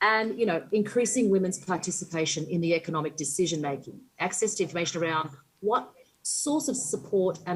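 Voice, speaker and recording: This woman has a medium pitch and lively intonation, speaking at a fairly quick pace. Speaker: panellist from a small business council. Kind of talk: panel discussion. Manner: fast.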